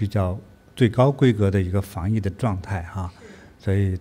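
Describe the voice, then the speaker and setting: Fairly low in pitch and dark, mellow in tone, a man speaks at a moderate pace with fairly even intonation. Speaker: spiritual teacher. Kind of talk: livestream talk. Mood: calm, warm. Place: studio. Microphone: studio mic.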